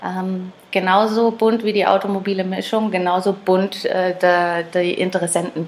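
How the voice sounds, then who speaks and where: A woman with a medium-pitched voice speaks fairly slowly in a monotone, flat way. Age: 30s. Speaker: classic car dealer. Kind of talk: casual interview chat.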